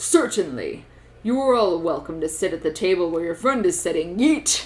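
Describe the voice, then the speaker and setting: In a put-on character voice, a woman speaks at a medium pitch and a moderate pace. Her pitch swings very widely. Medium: read story. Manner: quiet and polite.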